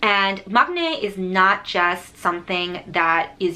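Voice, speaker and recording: A woman with an American accent speaks against noticeable background noise. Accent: Korean American. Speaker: author and video creator. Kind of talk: tutorial.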